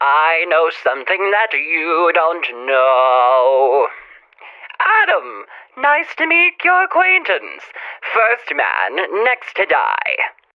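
A woman's put-on character voice, menacing in tone, fairly low in pitch, at a very slow pace. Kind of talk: old-time radio host. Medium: solo performance. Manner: menacing, mocking, charming.

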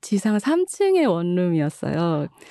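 Dry and close with no echo, a woman's dark, mellow voice swings very widely in pitch. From Busan, South Korea. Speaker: author and translator. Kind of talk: interview conversation.

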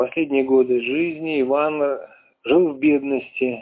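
Fairly even intonation from a man at a medium pitch

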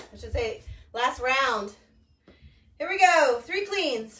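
Very slowly, a woman speaks with a bright, sharp tone and very wide pitch swings, with audible room echo. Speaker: fitness instructor. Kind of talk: workout class cues. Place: garage. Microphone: camera far.

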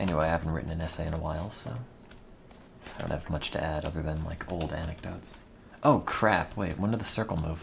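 Very fast and with fairly even intonation, a man talks in a very deep, low voice. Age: 50s. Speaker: video game streamer. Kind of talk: live gameplay commentary. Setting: livestream from home.

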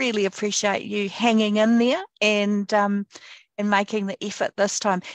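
With a warm tone and fairly high pitch, a woman speaks with fairly even intonation, the sound dry and close with no echo. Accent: New Zealand. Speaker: select committee chair. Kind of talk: formal hearing, chairing. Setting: video call. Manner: warm and friendly.

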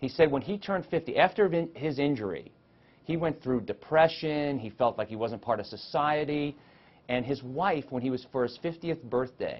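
A man speaks at a moderate pace with few pauses, his pitch medium. His intonation is lively.

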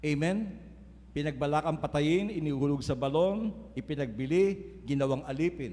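A man's fairly high pitch and dark, mellow tone at a moderate pace. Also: lively intonation. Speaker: preacher. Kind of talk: sermon. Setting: church. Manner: earnest, preaching cadence with rhetorical 'Amen?' calls to the congregation.

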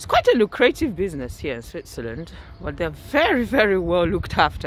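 Over noticeable background noise, a man can be heard. He talks at a fairly quick pace. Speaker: vlogger. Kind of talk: casual vlog to camera. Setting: outdoors.

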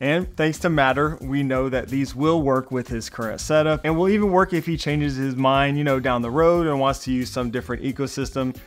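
Faint music plays in the background as a man speaks at a fairly quick pace with hardly any pauses. His pitch shows ordinary variation. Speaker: tech reviewer. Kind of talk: product review commentary. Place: home room.

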